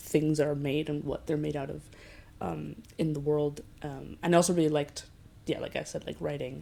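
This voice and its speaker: A woman with an American accent speaks at a moderate pace in a very deep, low pitch. Her tone is dark and mellow, and her intonation fairly even. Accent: vaguely American, shifts with listener. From Basque Country, Spain, with childhood in US and Qatar. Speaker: physics PhD student. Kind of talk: interview. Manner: casual, with many fillers.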